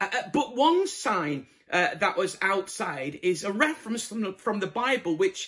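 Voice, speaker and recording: The speaker has a Yorkshire accent and a fairly slow pace. The pitch swings very widely. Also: man. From northern England, Bradford (Yorkshire). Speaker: evangelist preacher. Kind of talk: sermon.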